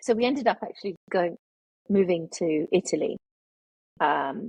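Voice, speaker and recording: The speech has a British accent and lively intonation at a moderate pace. The sound is dry and close with no echo. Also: woman, medium pitch for a woman. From international childhood, UK boarding school. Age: 50s. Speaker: memoirist. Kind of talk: interview. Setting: podcast.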